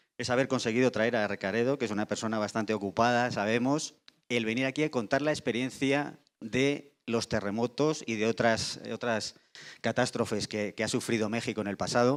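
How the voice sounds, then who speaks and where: The recording is very clean, with a silent background. A man speaks at medium pitch and a moderate pace, his intonation fairly even. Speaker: insurance industry panelist. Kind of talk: panel discussion. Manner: halting with repetitions.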